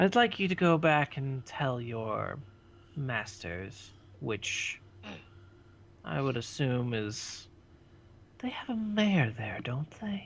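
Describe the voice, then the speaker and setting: A man's put-on character voice at medium pitch, very slow, with long, frequent pauses. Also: very clean recording, silent background. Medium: actual play. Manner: grandiose, condescending.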